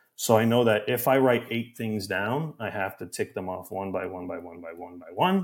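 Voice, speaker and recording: A man with a Canadian accent has a plain, everyday voice, fairly low in pitch and at a moderate pace. His intonation is lively, his loudness swings a lot, and the recording is very clean with a silent background. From Canada. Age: 20s. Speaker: podcast producer and editor. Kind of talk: casual chat.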